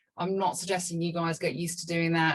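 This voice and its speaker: A woman talking fairly quickly in a monotone, flat delivery. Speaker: video marketing coach. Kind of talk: webinar presentation. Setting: video call. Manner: fast. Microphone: small cheap microphone.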